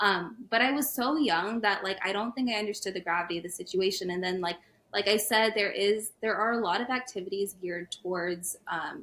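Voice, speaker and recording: This woman has a normal speaking voice, with an American accent and a medium pitch. Her pitch variation is ordinary, and she leaves hardly any pauses. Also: fairly quick pace. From US South, Atlanta, Georgia. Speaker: podcast guest. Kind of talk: casual interview chat.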